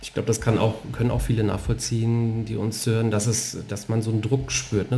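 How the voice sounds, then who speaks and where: A fairly low-pitched man at a fairly quick pace, with noticeable background noise. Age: 40s. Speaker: podcast host and former bank sales director. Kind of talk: casual interview conversation. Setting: living room at home.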